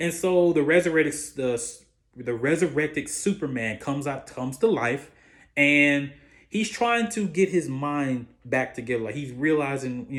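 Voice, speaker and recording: A man talks at a moderate pace with ordinary pitch variation. The recording is very clean, with a silent background. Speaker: YouTube movie reviewer. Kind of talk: casual movie review monologue. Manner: halting, many fillers and restarts.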